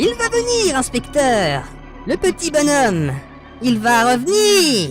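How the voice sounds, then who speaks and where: A man speaks in a put-on character voice at an extremely high pitch and a fairly slow pace, with clear music in the background. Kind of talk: parody horror audio story. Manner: shrieking, frantic.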